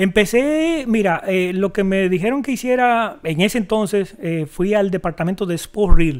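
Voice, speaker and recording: A man's high voice with a strong Dominican accent, lively intonation and hardly any pauses. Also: fairly slow pace. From Dominican Republic. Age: 50s. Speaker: video director and editor. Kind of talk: interview.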